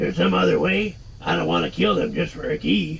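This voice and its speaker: A man puts on a raspy character voice at a fairly quick pace. Clear background noise runs beneath him. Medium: game stream. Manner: terse, questioning.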